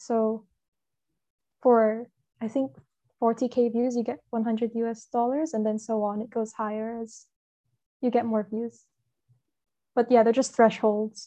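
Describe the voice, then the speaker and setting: Very slowly and with long, frequent pauses, a woman speaks in a monotone, flat voice with a dark, mellow tone. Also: fairly high pitch for a woman, quiet background. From Hong Kong. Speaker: comic artist. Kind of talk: casual interview.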